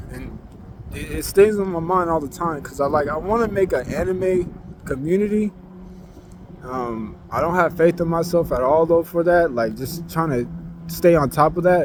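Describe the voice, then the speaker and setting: A man's high voice at a moderate pace with ordinary pitch variation, set against noticeable background noise. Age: young. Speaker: vlogger. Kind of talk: casual vent monologue. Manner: low energy; rambling, hesitant.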